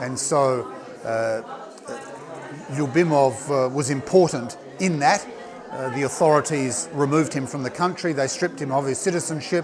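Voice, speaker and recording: Amid crowd noise in the background and audible room echo, a man with an Australian accent and a fairly high pitch speaks with long, frequent pauses. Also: ordinary pitch variation, moderate pace. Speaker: politician. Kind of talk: interview. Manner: hesitant, many fillers.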